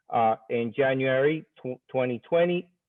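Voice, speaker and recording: An unremarkable speaking voice from a man, medium in pitch, with fairly even intonation. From Dominican Republic, then New York. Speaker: school principal. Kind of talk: virtual conference speaker introduction.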